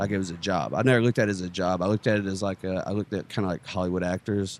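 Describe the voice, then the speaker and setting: In an East Texas accent, a man with a very deep, low voice speaks very fast with fairly even intonation, the sound dry and close with no echo. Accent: East Texas Southern US. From East Texas, near Longview. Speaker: stand-up comedian. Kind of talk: casual podcast interview.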